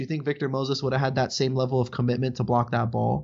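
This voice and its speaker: The pace is very fast. The accent is American. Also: man. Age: 20s. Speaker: sports podcast host. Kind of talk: casual chat.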